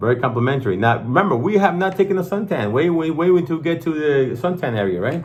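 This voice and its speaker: An animated man with a non-native accent at a very fast pace, over noticeable background noise. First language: not English. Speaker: watch channel host. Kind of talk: casual product review chat.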